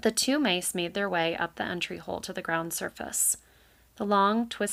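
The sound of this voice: In an unforced reading voice, the speaker shows ordinary pitch variation.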